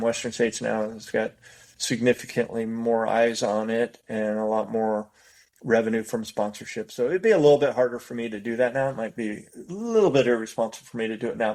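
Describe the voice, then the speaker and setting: A man speaks fairly quickly with a General American accent. He has an unremarkable speaking voice at a medium pitch. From US West Coast (Bay Area, California). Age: 60s. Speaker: race director. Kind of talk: podcast interview. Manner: casual, with frequent repetitions and fillers.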